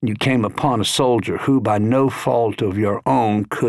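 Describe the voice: Simple reading aloud, nothing more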